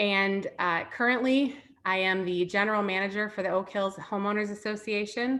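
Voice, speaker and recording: With a Wisconsin accent, a woman speaks at medium pitch and ordinary pitch variation. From Chicago. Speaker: former teacher and parent speaker. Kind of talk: online parenting talk. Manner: casual, filler-heavy.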